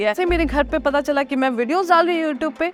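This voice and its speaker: A woman talks with ordinary pitch variation. Noticeable background noise is present. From Sikkim, India (Gangtok). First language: Nepali (speaking Hindi). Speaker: food vlogger. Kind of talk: motivational talk.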